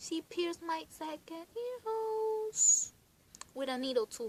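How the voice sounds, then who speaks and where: Very wide pitch swings mark a woman's speech. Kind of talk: casual talk to camera. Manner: giggly, laughs a lot.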